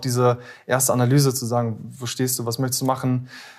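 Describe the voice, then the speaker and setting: Here a man with an unremarkable speaking voice talks at a moderate pace and medium pitch. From Ruhr area, Germany (Bottrop). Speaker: former police officer turned copywriter. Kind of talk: interview.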